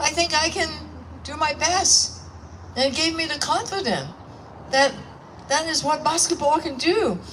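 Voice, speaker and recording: Amid noticeable background noise, a woman talks in an animated tone. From Hong Kong. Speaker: politician. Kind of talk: public speech at event.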